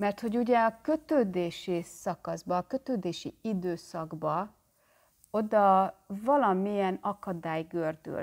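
This woman's intonation is lively, and the background behind her is quiet. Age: 40s. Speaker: therapist and channel host; self-help psychology vlogger. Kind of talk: vlog monologue. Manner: animated. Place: home room. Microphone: phone near.

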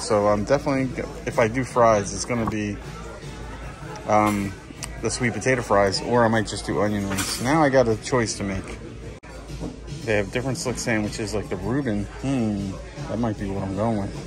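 Against clear background music, a man speaks with long, frequent pauses and ordinary pitch variation. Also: fairly low pitch for a man, moderate pace. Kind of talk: casual vlog chat. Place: cafe. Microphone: phone near.

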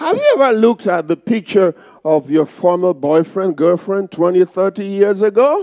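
A man speaks at a fairly slow pace in an animated tone, with very wide pitch swings. The background is quiet. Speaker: pastor. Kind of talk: sermon; call-and-response preaching with playful crowd banter. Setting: church. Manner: animated, rhetorical questions fired at congregation; rhythmic, repetitive, exhorting. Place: church. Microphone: headset.

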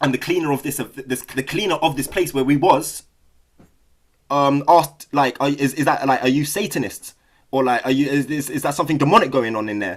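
A man with a London accent speaks at a fairly quick pace, his pitch fairly high. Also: ordinary pitch variation. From South London, England. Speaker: Buddhist study group leader. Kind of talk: casual talk and reading aloud. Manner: halting, many fillers.

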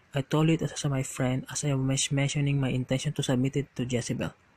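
The recording is dry and close with no echo as a man talks at a fairly quick pace, his fairly high, somewhat breathy voice flat and monotone. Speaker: storyteller reading creepy stories. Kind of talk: scripted horror narration.

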